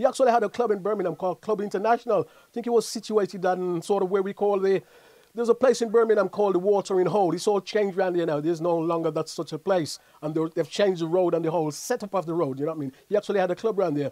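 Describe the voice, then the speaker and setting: Very fast speech from a man with a dark, mellow tone, ordinary pitch variation and a quiet background. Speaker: show host. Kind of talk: casual commentary with shout-outs. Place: studio. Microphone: lapel.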